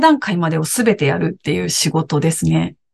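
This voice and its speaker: At a moderate pace, the woman talks with a somewhat breathy voice. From Japan, Aichi. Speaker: podcast co-host, former TV announcer and director. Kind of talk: casual chat.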